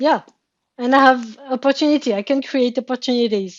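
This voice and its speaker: A French accent at a fairly slow pace with ordinary pitch variation. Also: woman. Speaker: therapy session participant. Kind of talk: therapy session conversation. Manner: halting, repeating words.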